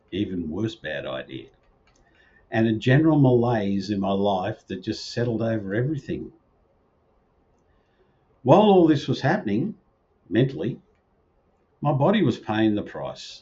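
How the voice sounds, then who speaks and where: A man speaks at a medium pitch and a moderate pace, his voice somewhat breathy. His intonation is lively, and he takes long, frequent pauses. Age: 60s. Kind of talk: personal video talk to camera.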